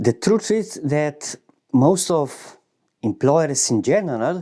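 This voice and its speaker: A man with a fairly high pitch and a dark, mellow tone speaks at a fairly slow pace with lively intonation. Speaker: former salesman. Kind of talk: casual talk to camera.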